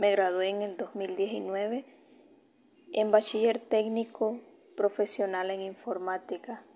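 A woman speaks in a dark, mellow tone with monotone, flat intonation. Her delivery is very slow, with long, frequent pauses. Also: medium pitch for a woman. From Honduras, Olanchito. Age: 20s. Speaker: university student. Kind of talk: personal autobiography narration.

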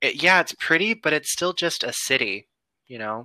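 In a bright, sharp tone, a man with a fairly high voice swings very widely in pitch. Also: dry, close sound with no echo. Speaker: podcast co-host. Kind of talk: casual chat. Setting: remote call.

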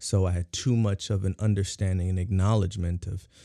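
A man's very deep, low voice comes across dark, mellow and somewhat breathy, with fairly even intonation and a dry, close sound with no echo. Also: very clean recording, silent background. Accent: American. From San Diego, California. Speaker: community activist. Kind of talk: casual chat. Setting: studio.

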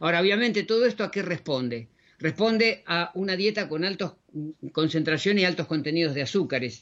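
A man with a high voice speaks at a fairly quick pace with lively intonation. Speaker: radio host, natural health educator. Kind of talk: radio show presentation. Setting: studio. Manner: halting with fillers.

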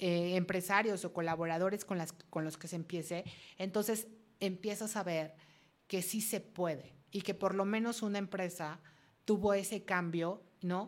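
A woman with medium pitch speaks in a normal speaking voice at a fairly slow pace, her intonation fairly even. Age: 50s. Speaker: reiki practitioner and radio host. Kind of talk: interview.

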